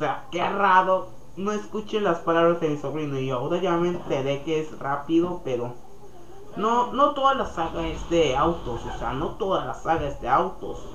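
Noticeable background noise is present throughout. The speech moves at a moderate speed. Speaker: podcast host. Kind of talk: casual monologue. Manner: halting.

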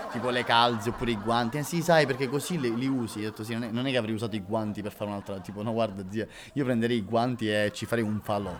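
There is noticeable background noise as a man at a medium pitch talks very fast, with ordinary pitch variation. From Sicily, Catania. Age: 20s. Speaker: actor and comedian. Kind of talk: casual chat.

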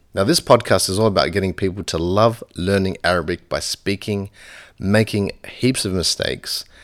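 A man with an Australian accent talks at a fairly quick pace in a very deep, low pitch on a very clean recording with a silent background. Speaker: language teacher. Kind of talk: language lesson podcast.

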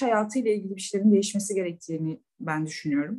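Her voice is somewhat breathy, with a dark, mellow tone. The woman's intonation is lively. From İzmir, Turkey. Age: 30s. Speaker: banker. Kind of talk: casual interview.

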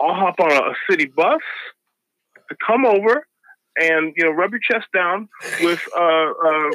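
In an American accent, the speaker talks at a fairly slow pace, with a dry, close sound and no echo. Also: man. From US Midwest (Ottumwa, Iowa). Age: 40s. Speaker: musician and comedian. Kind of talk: casual chat. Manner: animated.

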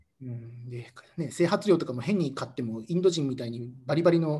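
Noticeable background noise behind speech of ordinary pitch variation. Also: man. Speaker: expatriate company employee. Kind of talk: casual interview chat.

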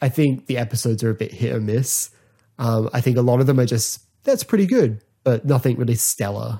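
With an Australian accent, a man speaks at a fairly quick pace in a dark, mellow, somewhat breathy tone with ordinary pitch variation. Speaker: podcast host. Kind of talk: casual solo podcast talk.

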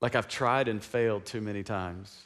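A man talks at a moderate pace and a fairly low pitch. The recording is very clean, with a silent background. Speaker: pastor. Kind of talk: sermon. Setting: church. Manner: animated; call-and-response.

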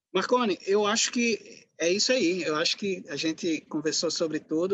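A man's pitch rises and falls in an ordinary way as he talks at a moderate pace. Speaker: podcast host, sociology professor. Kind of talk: interview conversation.

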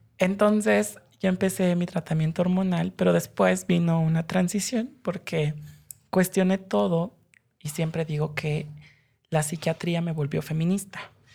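Somewhat breathy and fairly low in pitch, a woman talks at a fairly slow pace with ordinary pitch variation. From Mexico City, family from Hidalgo. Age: 20s. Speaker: human rights lawyer. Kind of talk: interview. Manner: animated.

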